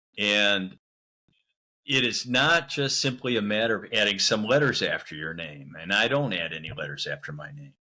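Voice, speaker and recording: A man with a medium-pitched, bright, sharp voice speaks at a moderate pace. His pitch swings very widely, and vocal fry comes through. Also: big swings in loudness. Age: 60s. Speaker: missionary. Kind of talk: interview conversation.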